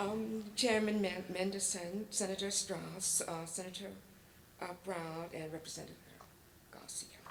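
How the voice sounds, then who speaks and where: Amid noticeable background noise and audible room echo, a woman speaks at medium pitch and a fairly slow pace in a monotone, flat intonation. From Virginia, foot of the Blue Ridge Mountains. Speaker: public commenter, community advocate. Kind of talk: public testimony. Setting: public hearing in school hall. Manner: hesitant, many fillers.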